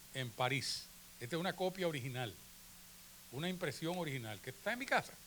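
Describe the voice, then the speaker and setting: A man's fairly high, bright, sharp voice with very wide pitch swings and audible room echo. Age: 70s. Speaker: photographer. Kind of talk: conference talk. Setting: auditorium with audience. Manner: conversational.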